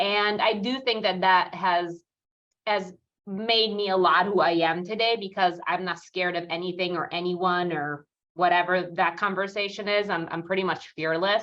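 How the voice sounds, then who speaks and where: A woman speaks with a slight Italian accent. Her intonation stays fairly even. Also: medium pitch for a woman, moderate pace. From Italy, near Rome. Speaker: real estate team leader. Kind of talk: interview. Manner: many fillers, pauses to think.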